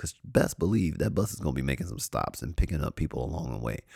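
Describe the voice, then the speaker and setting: A man's dark, mellow voice shows vocal fry and very wide pitch swings. The sound is dry and close, with no echo. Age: 40s. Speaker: podcast host. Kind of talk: casual monologue.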